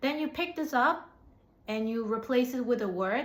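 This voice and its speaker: With audible room echo, a woman with an American accent speaks at a high pitch with ordinary pitch variation. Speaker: English teacher. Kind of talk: tutorial. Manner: hesitant, many fillers.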